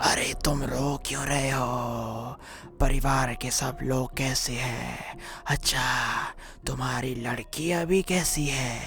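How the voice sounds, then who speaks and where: At a very slow pace, a cartoonish character voice speaks at a low-to-middle pitch. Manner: stern, measured.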